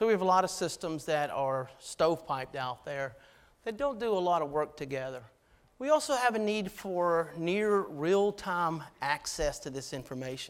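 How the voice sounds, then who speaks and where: A man talks at a moderate pace in a fairly high pitch. His intonation is lively. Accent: Georgia. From US South, Georgia. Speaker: army officer, keynote speaker. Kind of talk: keynote speech.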